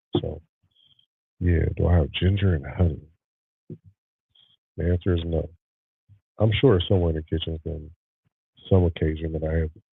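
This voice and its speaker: Very deep, low-pitched male speech at a fairly quick pace, with fairly even intonation and long, frequent pauses, over music in the background. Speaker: podcast host. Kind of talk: casual chat.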